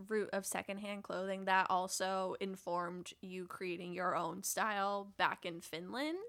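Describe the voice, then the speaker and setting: A woman with an American accent and a bright, sharp tone speaks at medium pitch and a fairly slow pace. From US Midwest. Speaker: podcast host. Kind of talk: casual interview. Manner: animated.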